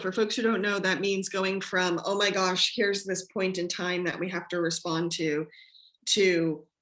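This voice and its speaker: A woman's medium-pitched voice with ordinary pitch variation, on a very clean recording with a silent background. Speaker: community radio host. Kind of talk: casual interview chat. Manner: halting.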